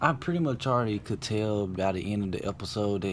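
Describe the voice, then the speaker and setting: A man's fairly low-pitched voice at a fairly quick pace, with audible room echo. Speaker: YouTube TV show reviewer. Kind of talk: casual video review.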